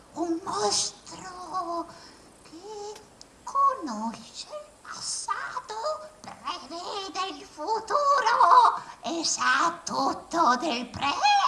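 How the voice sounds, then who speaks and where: Using a put-on character voice, a woman talks very slowly at an extremely high pitch, with big swings in loudness and very wide pitch swings. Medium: stage play. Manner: folksy, talkative.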